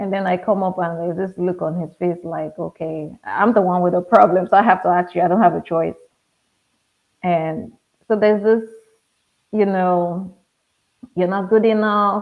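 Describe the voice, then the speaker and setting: A woman with a Nigerian accent speaks at a moderate pace with fairly even intonation. She leaves long, frequent pauses. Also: medium pitch for a woman. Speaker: pharmacist. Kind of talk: interview conversation.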